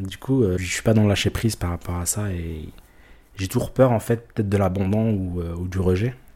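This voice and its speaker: A man talks at a moderate pace in a fairly low, somewhat breathy voice with fairly even intonation. The recording is very clean, with a silent background. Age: 30s. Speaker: interviewee sharing personal story. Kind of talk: confessional interview. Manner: hesitant, many fillers and repetitions.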